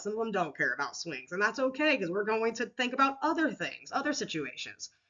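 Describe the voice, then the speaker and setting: Her delivery comes at a fairly quick clip. The woman's intonation stays lively throughout. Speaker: teacher presenting a school counseling lesson plan. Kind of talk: recorded lesson presentation. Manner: casual, with many fillers and restarts.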